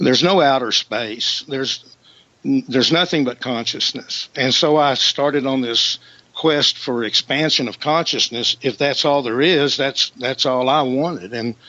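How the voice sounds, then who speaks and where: Noticeable background noise accompanies a man who speaks rather slowly. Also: medium pitch for a man, ordinary pitch variation. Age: 60s. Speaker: professional musician. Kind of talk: radio interview.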